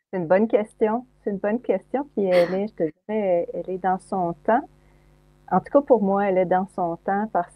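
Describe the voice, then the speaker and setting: A woman uses an ordinary speaking voice at a medium pitch and a fairly slow pace. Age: 60s. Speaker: psychologist and speaker. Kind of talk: interview conversation.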